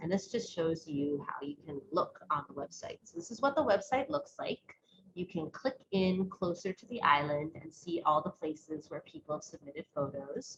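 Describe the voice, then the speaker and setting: Somewhat breathy and fairly low in pitch, a woman's voice has lively intonation. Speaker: science educator presenter. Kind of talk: webinar presentation. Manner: fast.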